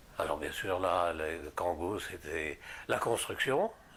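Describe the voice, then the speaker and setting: Somewhat breathy, a man talks at a fairly slow pace. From northern France, Pas-de-Calais. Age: 80s+. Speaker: retired missionary priest. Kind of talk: interview testimony. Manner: halting, many hesitations.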